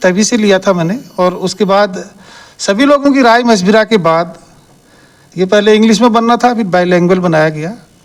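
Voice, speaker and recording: This man's voice sits high in pitch and has ordinary pitch variation. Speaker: senior citizens' group organizer. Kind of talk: interview at community event.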